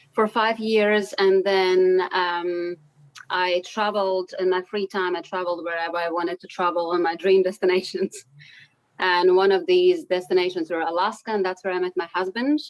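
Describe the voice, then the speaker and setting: Her intonation fairly even, a woman talks with a non-native accent. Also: medium pitch for a woman, moderate pace. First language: not English. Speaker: vegan dessert chef and business owner. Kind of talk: interview. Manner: halting.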